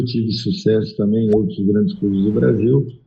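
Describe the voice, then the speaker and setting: A man's fairly low, somewhat breathy voice carries lively intonation. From São Paulo city, Brazil. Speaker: former football goalkeeper and coach. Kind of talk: podcast interview.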